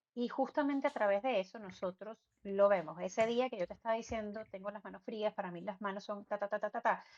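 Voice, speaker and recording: A woman with a Venezuelan accent speaks at a very fast pace and a medium pitch. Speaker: medium and spiritual guide. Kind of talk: interview conversation. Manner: halting.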